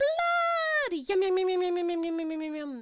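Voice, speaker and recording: A put-on character voice, squeaky and shrill at an extremely high pitch, moves at a moderate pace. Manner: greedy, gleeful.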